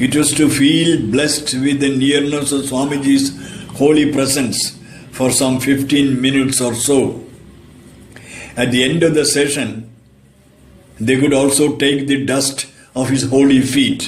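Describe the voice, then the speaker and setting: A man speaks fairly slowly with a fairly high pitch, flat monotone intonation and very even loudness, leaving long, frequent pauses. Audible room echo and noticeable background noise fill the recording. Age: 80s+. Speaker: religious disciple, storyteller. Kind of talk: anecdotal talk, storytelling.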